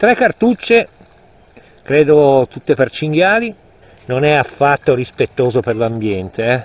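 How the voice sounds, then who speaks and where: A man speaks at a fairly slow pace with very wide pitch swings, in a dry sound with no echo. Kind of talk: casual vlog commentary. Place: forest. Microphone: phone near.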